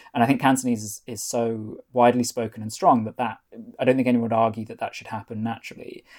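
With big swings in loudness, a man at medium pitch talks at a very fast pace in a monotone, flat intonation. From North Wales. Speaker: author and foreign correspondent. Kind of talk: interview.

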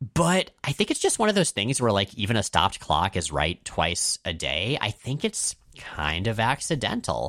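On a very clean recording with a silent background, a man with vocal fry and a fairly low pitch speaks in an animated tone at a moderate pace, hardly pausing, his pitch swinging very widely. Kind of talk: casual banter podcast. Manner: animated, jokey.

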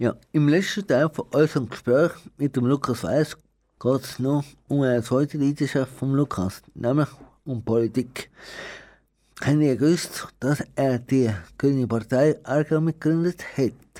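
A man talks at a fairly slow pace with long, frequent pauses. His pitch is fairly high, with ordinary variation and a dark, mellow tone. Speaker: community radio host. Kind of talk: radio interview. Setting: radio studio.

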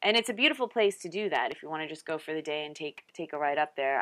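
A woman with a very deep, low pitch, a slight Californian accent and ordinary pitch variation. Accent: slight Californian speech. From US East Coast. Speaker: travel podcast host. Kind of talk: casual solo podcast talk. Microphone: bad test microphone, poor sound.

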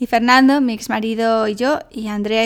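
A woman talks in a monotone, flat way, fairly high in pitch and at a moderate pace. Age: 30s. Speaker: life coach and podcast host. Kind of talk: solo podcast monologue. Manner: casual, chatty.

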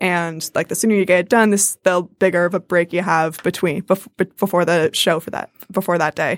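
An American-accented woman with a fairly low pitch speaks at a fairly quick pace with hardly any pauses and monotone, flat intonation, the recording very clean with a silent background and the sound dry and close with no echo. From New Jersey and Michigan. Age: 20s. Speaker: stage actress. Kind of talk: casual interview.

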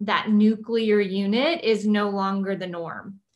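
Someone talks very slowly in a South Texas accent. The intonation stays fairly even. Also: woman. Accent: South Texas American. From South Texas (Kingsville). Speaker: teacher turned real estate agent. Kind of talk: personal interview.

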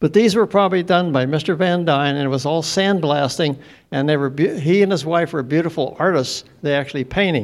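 In a very clean recording with a silent background, a man with a western Pennsylvania accent talks at a fairly quick pace with ordinary pitch variation. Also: fairly high pitch for a man. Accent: western Pennsylvania American. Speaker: audience member. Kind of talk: audience question.

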